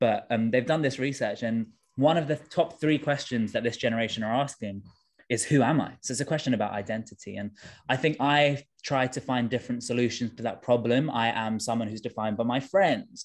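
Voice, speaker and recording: Someone with a London accent speaks at a fairly quick pace with ordinary pitch variation over a quiet background. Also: man. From South London (Tooting). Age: 20s. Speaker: trainee vicar. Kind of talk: interview.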